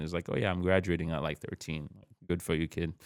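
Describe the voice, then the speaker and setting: On a very clean recording with a silent background, a man with a Haitian accent speaks very fast in a very deep, low pitch and a flat, monotone intonation. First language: Haitian Creole. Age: 30s. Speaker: podcast guest, author and powerlifter. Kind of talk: casual chat.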